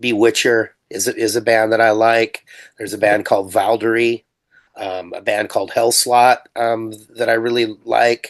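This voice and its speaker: A man speaks at a medium pitch and a moderate pace. His intonation is monotone and flat against a quiet background. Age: 60s. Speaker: punk metal musician. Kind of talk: interview.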